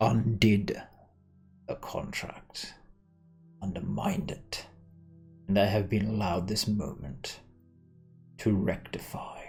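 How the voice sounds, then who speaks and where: Using a put-on character voice, the speaker moves at a fairly slow pace with long, frequent pauses while faint music plays in the background. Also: man, fairly low pitch for a man. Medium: actual play. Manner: imperious, menacing.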